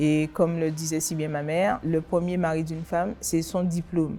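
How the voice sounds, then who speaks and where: The voice moves at a moderate pace with monotone, flat intonation while music plays in the background. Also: woman. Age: 60s. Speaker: association president. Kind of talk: interview testimony. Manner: hesitant, frequent filler sounds.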